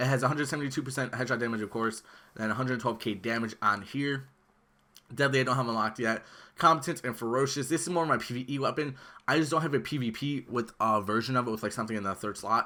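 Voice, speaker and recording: A bright, sharp voice speaks at a very fast pace with ordinary pitch variation, on a very clean recording with a silent background. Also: man, medium pitch for a man. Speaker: gaming YouTuber. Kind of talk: gameplay build tutorial. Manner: casual, filler-heavy.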